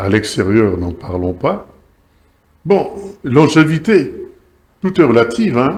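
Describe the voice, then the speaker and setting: A somewhat breathy man speaks at a very slow pace with long, frequent pauses. His pitch makes very wide swings. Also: medium pitch for a man. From Kinshasa, DR Congo. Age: 80s+. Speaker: former state TV director and journalist. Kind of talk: talk show interview. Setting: TV studio. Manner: hesitant, many fillers.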